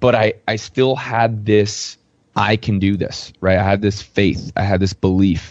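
In an ordinary speaking voice, a man talks at a fairly slow pace with fairly low pitch and fairly even intonation. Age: 30s. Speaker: real estate investor and coach. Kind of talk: casual interview.

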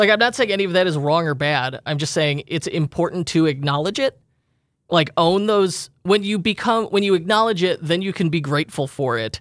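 On a very clean recording with a silent background, a man speaks at a high pitch. His pace is fairly quick and his intonation lively. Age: 30s. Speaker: e-commerce podcast host. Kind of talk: casual chat.

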